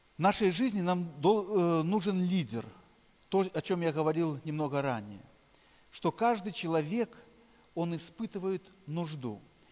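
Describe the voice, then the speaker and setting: Pausing long and often, a man talks fairly slowly in a high voice with lively intonation. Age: 40s. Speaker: pastor. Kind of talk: sermon.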